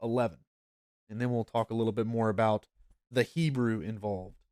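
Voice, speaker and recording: With a North Georgia accent, a man speaks in a relaxed tone, the sound dry and close with no echo. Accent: Southern US (North Georgia). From US South, North Georgia. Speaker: pastor. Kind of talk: Bible study. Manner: relaxed, conversational.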